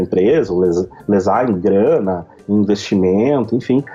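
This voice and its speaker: Music plays behind the speaker, a man. He keeps a moderate pace and ordinary pitch variation. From southern Brazil, Rio Grande do Sul (Novo Hamburgo). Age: 30s. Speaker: reputation consultant. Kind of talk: podcast interview.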